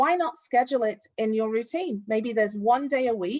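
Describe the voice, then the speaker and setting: A woman speaks in an ordinary speaking voice at a moderate pace, her intonation lively, on a very clean recording with a silent background. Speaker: parent conference presenter. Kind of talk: virtual conference presentation.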